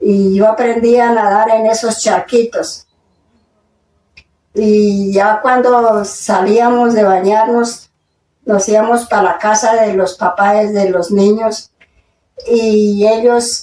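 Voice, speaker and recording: The delivery is a flat monotone at a very slow pace, broken by long, frequent pauses. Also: woman, fairly high pitch for a woman, very even loudness. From Colombia, Boyacá. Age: 80s+. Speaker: elderly interviewee. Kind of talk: interview. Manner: halting.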